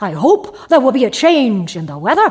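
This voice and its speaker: In a put-on character voice, the speaker sounds gruff and high-pitched, with very wide pitch swings and a moderate pace. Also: female-sounding voice. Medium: read story.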